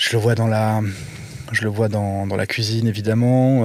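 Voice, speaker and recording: Mumbling, a man speaks with monotone, flat intonation at a fairly low pitch and a fairly slow pace. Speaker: podcast guest, creative in media and cooking. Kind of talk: casual interview chat. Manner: mumbling, halting with many fillers.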